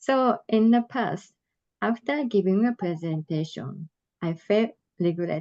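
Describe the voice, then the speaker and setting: With a Japanese accent, a woman of medium pitch speaks in a dark, mellow tone with lively intonation, recorded dry and close with no echo. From Japan, Tokyo. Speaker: adult learner leader. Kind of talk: presentation. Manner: slow; halting.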